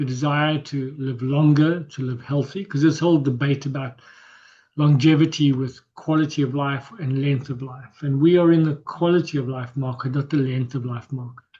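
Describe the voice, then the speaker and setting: A man's dark, mellow voice at a fairly high pitch, with fairly even intonation and a moderate pace. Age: 60s. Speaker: health coach workshop presenter. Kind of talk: workshop presentation. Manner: halting, repetitive.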